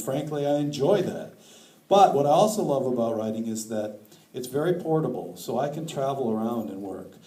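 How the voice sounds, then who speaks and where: A man with an American accent, at a fairly quick pace with lively intonation, amid audible room echo and noticeable background noise. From northern Wisconsin. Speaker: author. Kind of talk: lecture.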